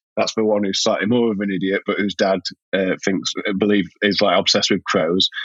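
A man in a Yorkshire accent speaks at a fairly quick pace. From Yorkshire, Sheffield, northern England. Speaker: writer and playwright. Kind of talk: casual chat. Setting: remote call.

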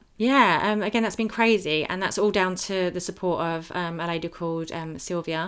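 With an English accent, a woman speaks at a moderate pace and medium pitch, with ordinary pitch variation and hardly any pauses, on a very clean recording with a silent background. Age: 30s. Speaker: skin condition advocate. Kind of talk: personal testimony. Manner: hesitant, many fillers.

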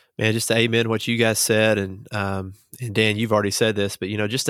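In a Southern US accent, a man talks with a fairly low pitch and flat, monotone intonation. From small-town Arkansas. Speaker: student pastor. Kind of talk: casual chat.

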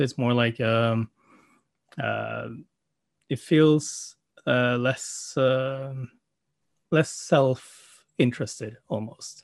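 A man with a Norwegian accent talks at a very slow pace and a medium pitch, with fairly even intonation. He leaves long, frequent pauses, and the background is quiet. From Norway. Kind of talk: casual chat. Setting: video call.

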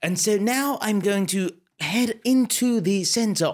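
A fairly slow pace with a British accent. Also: man. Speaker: improvising storyteller, entertainer. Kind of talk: improvised comic documentary-horror narration, mock-serious. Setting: live stream to Facebook audience. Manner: playful, rambling, with stumbles.

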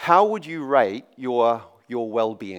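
A man speaks with a New Zealand accent. His pace is very slow. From New Zealand, Auckland. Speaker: preacher. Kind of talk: sermon. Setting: church.

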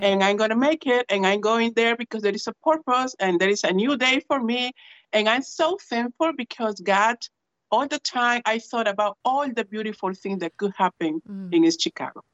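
The speaker has a Spanish accent and a moderate pace. Pitch varies in an ordinary way. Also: woman, fairly high pitch for a woman. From Peru. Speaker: church minister. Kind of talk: personal introduction and testimony. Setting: video call.

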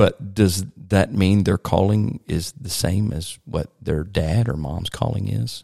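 Speaking with a Virginia accent, a man uses a fairly low pitch, a dark, mellow tone, vocal fry and lively intonation at a fairly slow pace. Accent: Southern US (Virginia). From US South. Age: 40s. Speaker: pastor. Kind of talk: podcast interview.

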